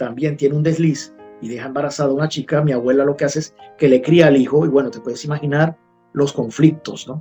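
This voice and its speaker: Music plays behind a man with a fairly high voice. He talks at a very fast pace with fairly even intonation. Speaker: journalist. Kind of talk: interview answer.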